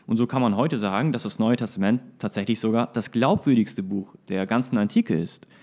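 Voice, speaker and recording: In a very clean recording with a silent background, a man with a dark, mellow tone speaks at a fairly quick pace. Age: 20s. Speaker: church youth leader and lay preacher. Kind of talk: casual chat.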